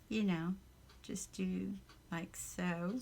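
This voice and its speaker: In a Southern US accent, a woman talks at a very slow pace. Her pitch is medium. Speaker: crafter. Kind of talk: casual craft tutorial talk.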